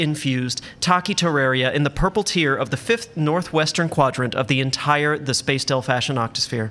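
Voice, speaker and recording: Noticeable background noise accompanies a man speaking at a moderate pace. His pitch is fairly high, with ordinary variation. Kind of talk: pitchman ad parody, over-the-top food commercial with pleading, melodramatic sales pitch.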